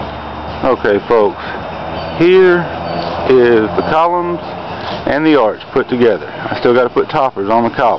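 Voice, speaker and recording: Fairly slow speech in a strong Southern US accent, dry with no echo, over noticeable background noise. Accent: deep Southern US. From Southern United States. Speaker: home haunted attraction builder. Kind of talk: casual talk to camera. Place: garden. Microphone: phone near.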